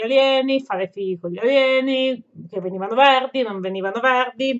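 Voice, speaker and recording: Against a quiet background, a woman speaks in a high voice with ordinary pitch variation. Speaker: gaming vlogger. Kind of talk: casual vlog chat. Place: home room. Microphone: webcam.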